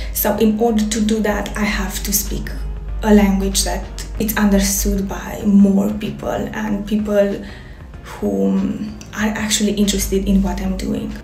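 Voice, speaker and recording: Faint music plays in the background amid audible room echo. A woman speaks at a fairly slow pace. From Romania. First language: Romanian. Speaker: fashion designer. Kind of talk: casual talk to camera. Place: home room. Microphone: phone near.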